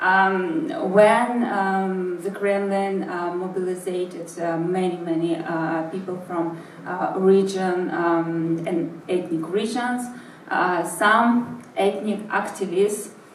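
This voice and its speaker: A woman speaks at a very slow pace with a medium pitch and fairly even intonation. Noticeable background noise and audible room echo surround her voice. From St Petersburg, Russia (born in Buryatia). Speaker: investigative journalist and activist. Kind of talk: talk. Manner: halting, many fillers.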